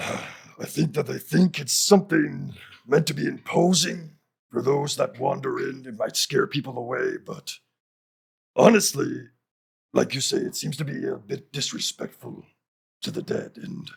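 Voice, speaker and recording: A man's raspy, put-on character voice, pitched fairly high. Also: moderate pace. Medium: actual play. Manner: warm, caring, rambling.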